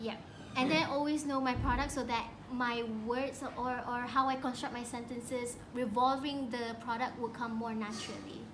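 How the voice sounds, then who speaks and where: In a Malaysian accent, a woman speaks at a high pitch and moderate pace with monotone, flat intonation, amid audible room echo and noticeable background noise. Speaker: beauty vlogger. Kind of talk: casual chat; makeup tutorial.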